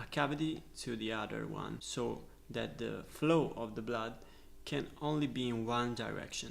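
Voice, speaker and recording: At a very slow pace, a man speaks with audible room echo around him. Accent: Italian. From Italy. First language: Italian. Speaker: medical student, educational youtuber. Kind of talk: lecture. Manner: halting, with filler sounds.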